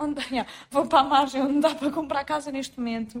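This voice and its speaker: A high-pitched woman speaks at a fairly quick pace. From Portugal, Lisbon south bank (Seixal area). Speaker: podcast co-host. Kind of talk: casual chat.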